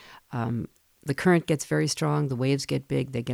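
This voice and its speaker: A woman with a Pacific Northwest accent speaks at a very fast pace. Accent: Pacific Northwest general American. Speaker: radio host. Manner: steady, matter-of-fact, clipped and precise.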